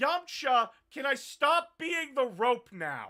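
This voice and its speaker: Putting on a character voice, a woman speaks very slowly at a high pitch. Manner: cartoonish, playful.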